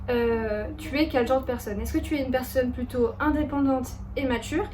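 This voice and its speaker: A woman's high voice at a moderate pace, with ordinary pitch variation. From Bordeaux region, France. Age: 20s. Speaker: lifestyle YouTuber. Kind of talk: casual talk to camera. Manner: friendly, chatty.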